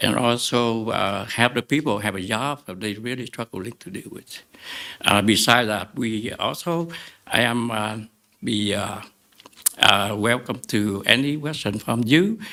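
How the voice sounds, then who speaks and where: With a Vietnamese accent, a man speaks at medium pitch in a bright, sharp tone, his loudness swinging widely. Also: ordinary pitch variation, fairly slow pace. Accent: Vietnamese-accented English, limited. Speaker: restaurant owner, appellant. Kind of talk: public hearing statement. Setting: public meeting with mic. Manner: halting, many fillers.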